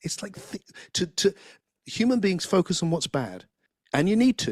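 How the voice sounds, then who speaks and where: Heard with a dry, close sound and no echo, a high-pitched man with an English accent talks at a moderate pace with ordinary pitch variation. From England. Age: 60s. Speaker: philosopher and spiritual teacher. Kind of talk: interview conversation. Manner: halting, many repeated words.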